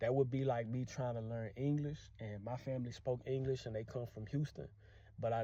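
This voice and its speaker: The speaker has a Louisiana accent and a somewhat breathy, dark, mellow tone. The pace is fairly quick, with fairly even intonation. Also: man. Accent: Louisiana accent, keeps it. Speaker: language teacher vlogger. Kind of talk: casual vlog monologue.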